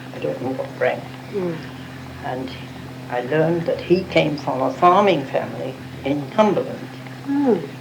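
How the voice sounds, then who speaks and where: A woman with a very deep, low voice and lively intonation speaks fairly slowly over noticeable background noise. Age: 80s+. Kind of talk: oral history interview answer. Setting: cassette recording.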